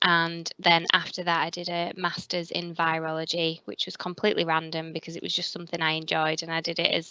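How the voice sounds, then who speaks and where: A woman's fairly low, monotone voice with flat intonation, fairly quick and with hardly any pauses, over a quiet background. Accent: northern English. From northern England. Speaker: hospital pathology quality manager. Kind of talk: careers interview. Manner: hesitant, with fillers.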